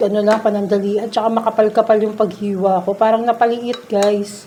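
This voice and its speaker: Soft-spoken and at a fairly slow pace, a woman talks with medium pitch and fairly even intonation amid noticeable background noise. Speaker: vlogger cooking at home. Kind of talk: casual cooking vlog.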